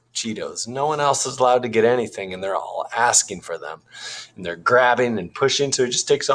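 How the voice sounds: The text is read in a natural reading voice with ordinary pitch variation.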